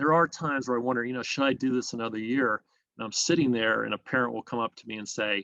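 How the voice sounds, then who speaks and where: A man speaks in a bright, sharp tone with fairly even intonation. The sound is dry and close, with no echo. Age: 60s. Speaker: business owner. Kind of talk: interview.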